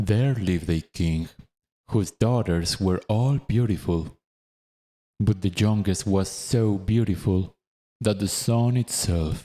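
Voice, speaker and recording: In a non-native accent, the speaker talks at a very slow pace with a calm, dark, mellow tone, ordinary pitch variation and very even loudness, on a very clean recording with a silent background. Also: man, fairly low pitch for a man. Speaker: narrator. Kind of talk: audiobook reading.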